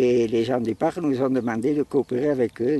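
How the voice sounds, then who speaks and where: Dry and close with no echo, a man's dark, mellow tone shows ordinary pitch variation. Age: 70s. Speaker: retired volunteer hiker. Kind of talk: interview.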